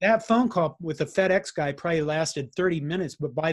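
Against a quiet background, a man speaks in a plain, everyday voice at a fairly high pitch and a fairly quick pace. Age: 50s. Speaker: IT consultant, heart attack survivor. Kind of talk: interview, personal testimony.

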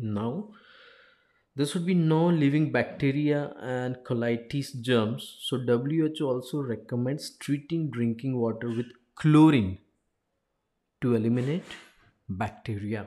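A man's dark, mellow voice in a Gujarati accent, fairly slow in pace, with ordinary pitch variation and long, frequent pauses. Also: medium pitch for a man. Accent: Indian English (Gujarati). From India, Gujarat (Ahmedabad). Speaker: life coach and engineer. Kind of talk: informational talk.

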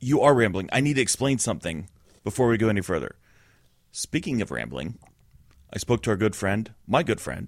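A man's fairly low voice with vocal fry, very wide pitch swings, a fairly quick pace and long, frequent pauses, on a very clean recording with a silent background. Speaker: podcast co-host. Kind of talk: casual banter. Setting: studio.

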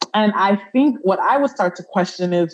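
The intonation here is lively. It is an unremarkable speaking voice. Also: woman. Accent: American. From US Northeast, Brooklyn, New York. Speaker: social worker and healer. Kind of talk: interview conversation.

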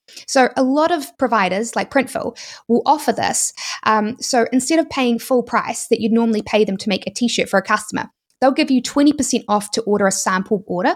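A woman with a New Zealand accent speaks at a fairly quick pace, her fairly high voice showing ordinary pitch variation. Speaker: YouTuber and e-commerce entrepreneur. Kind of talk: interview, explanatory talk.

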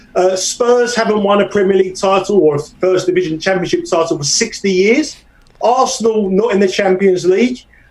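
A man with a high-pitched voice speaks at a moderate pace. Noticeable background noise runs underneath. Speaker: soccer bettor. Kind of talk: casual interview.

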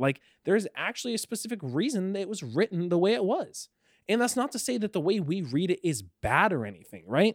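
A man's high-pitched voice at a very fast pace with very wide pitch swings, dry and close with no echo, on a very clean recording with a silent background. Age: 20s. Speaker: podcast co-host. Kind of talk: casual chat.

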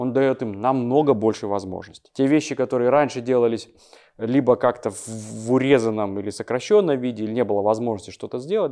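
Over a quiet background, a man talks at a fairly quick pace with a dark, mellow tone and medium pitch. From Kazakhstan, Almaty. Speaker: visual effects company head. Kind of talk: podcast interview. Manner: halting, many filler words.

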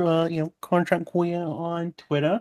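Speaking at a fairly slow pace with an American accent, a man keeps a flat, monotone delivery at a high pitch, with a dry, close sound and no echo. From Ohio, Cincinnati area. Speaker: theme park enthusiast. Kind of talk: casual chat.

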